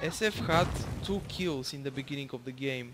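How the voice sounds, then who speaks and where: A man with a Bulgarian accent speaks at a moderate pace. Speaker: gaming YouTuber. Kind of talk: gameplay commentary. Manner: casual, hesitant with fillers.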